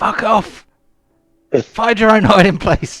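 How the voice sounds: A man puts on a character voice at a high pitch. He speaks at a fairly slow pace.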